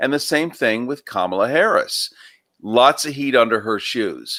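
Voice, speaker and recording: A man's moderately paced speech, the recording very clean and the background silent. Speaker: talk show guest. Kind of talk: political commentary in a live discussion.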